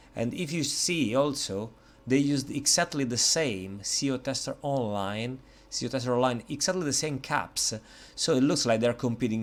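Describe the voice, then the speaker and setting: A man's medium-pitched voice with an Italian accent, on a very clean recording with a silent background. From Italy. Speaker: software reviewer. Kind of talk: product review tutorial. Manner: hesitant, many fillers.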